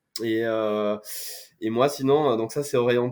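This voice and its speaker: With ordinary pitch variation, a man's medium-pitched voice moves at a moderate pace. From France, Corrèze (Brive-la-Gaillarde). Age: 30s. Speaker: startup founder. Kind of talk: podcast interview.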